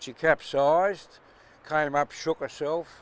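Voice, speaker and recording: Speaking with an Australian accent, a man keeps a moderate pace and fairly even intonation. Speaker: yacht owner and sailor. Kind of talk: interview answer, storytelling. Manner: passionate.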